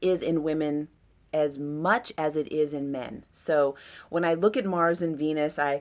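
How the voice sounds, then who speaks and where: A woman with a very deep, low pitch and ordinary pitch variation speaks at a fairly slow pace on a very clean recording with a silent background. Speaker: astrologer. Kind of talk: astrology chart reading. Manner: casual, with many fillers.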